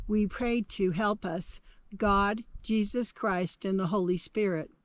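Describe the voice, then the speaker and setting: The background is quiet. The delivery is very slow. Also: woman. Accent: Navajo Nation. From Navajo Nation, Southwestern United States. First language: Navajo. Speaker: storyteller. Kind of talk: oral history narration.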